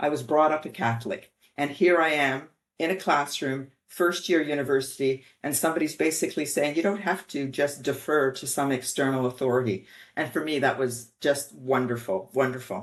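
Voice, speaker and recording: The voice carries a slight French Canadian accent, with a quiet background. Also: woman, very deep, low pitch for a woman, ordinary pitch variation, moderate pace. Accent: little trace of French Canadian. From Quebec, Montreal. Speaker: bioethicist. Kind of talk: interview.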